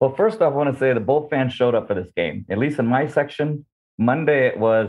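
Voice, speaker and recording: This is an unremarkable speaking voice with an American accent. It moves at a fairly quick pace with lively intonation. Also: man. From Southern California. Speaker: fan guest. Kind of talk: interview. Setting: video call.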